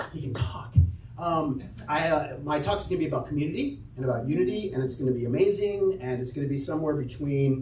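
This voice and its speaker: A man speaks at a very fast pace and a fairly high pitch, with ordinary pitch variation. Audible room echo and noticeable background noise fill the recording. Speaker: church announcements leader. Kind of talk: church announcements. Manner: loud; casual. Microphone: microphone having issues.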